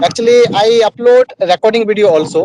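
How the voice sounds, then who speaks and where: The man talks at a moderate pace with ordinary pitch variation, and the sound is dry and close with no echo. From West Bengal, Purulia district, rural. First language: Bengali. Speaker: student and YouTuber. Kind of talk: casual chat.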